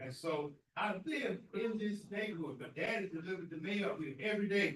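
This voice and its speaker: Talking fairly quickly in a Southern US accent, a man with a high voice uses lively intonation. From US South, grew up near the school. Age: 70s. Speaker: community leader and speaker at veterans event. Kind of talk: speech at a Veterans Day ceremony. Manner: halting.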